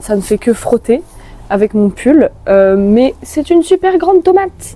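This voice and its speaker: A woman's fairly high, animated voice at a fairly slow pace, with very wide pitch swings. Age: 20s. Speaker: vlogger and thrift shop owner. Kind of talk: casual vlog narration.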